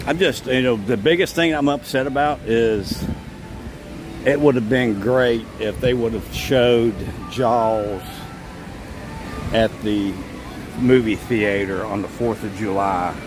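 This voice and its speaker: With music in the background, a man speaks at medium pitch with ordinary pitch variation and long, frequent pauses. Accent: American. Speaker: theme park vlogger. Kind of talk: live stream walkaround commentary. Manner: casual, with frequent fillers.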